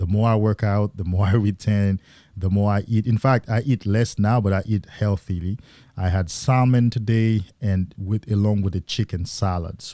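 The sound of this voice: A man speaks at a moderate pace in a fairly low, dark, mellow voice with fairly even intonation and very even loudness. The sound is dry and close with no echo, on a very clean recording with a silent background.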